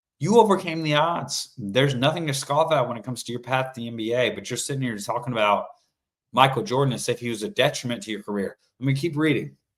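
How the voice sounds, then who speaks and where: Talking at a very fast pace, a man shifts widely in loudness, with lively intonation. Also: medium pitch for a man. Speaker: sports talk show host. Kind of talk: solo sports commentary livestream. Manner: animated.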